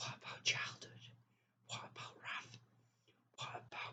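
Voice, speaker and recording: A woman is whispering. Her pace is fairly slow. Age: 20s. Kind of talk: casual talk to camera.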